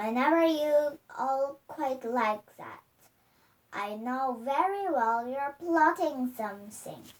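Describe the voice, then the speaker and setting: A woman does a put-on character voice, high-pitched and cackling. She speaks at a very slow pace with lively intonation. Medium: read story. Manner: spiteful, cackling.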